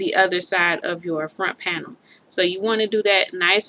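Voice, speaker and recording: Over light background noise, a woman talks at a moderate pace with monotone, flat intonation. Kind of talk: tutorial. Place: home room. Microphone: webcam.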